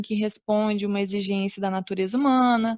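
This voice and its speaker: Recorded with a dry, close sound and no echo, a woman talks at fairly high pitch and a moderate pace, with ordinary pitch variation. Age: 20s. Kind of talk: religious teaching talk. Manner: halting. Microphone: connection cutting out.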